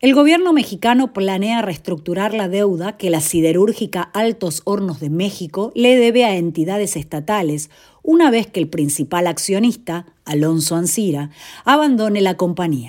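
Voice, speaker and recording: At a medium pitch and a moderate pace, a woman speaks with lively intonation in an ordinary speaking voice, on a very clean recording with a silent background. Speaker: news presenter. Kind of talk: scripted news reading, brisk and businesslike bond-market headlines. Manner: formal; steady, even-paced, neutral delivery.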